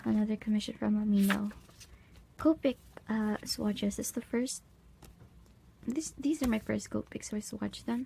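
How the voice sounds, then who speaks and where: A woman with a fairly high pitch and a dark, mellow tone sounds somewhat breathy, with ordinary pitch variation. She keeps a moderate pace but leaves long, frequent pauses. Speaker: art channel creator. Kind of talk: sketchbook tour narration. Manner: casual.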